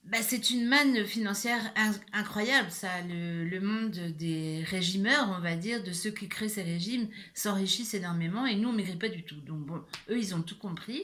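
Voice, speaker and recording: With audible room echo, a woman at a medium pitch talks at a moderate pace with ordinary pitch variation. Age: 60s. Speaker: YouTuber sharing personal experience. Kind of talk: personal vlog monologue. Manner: hesitant, many fillers.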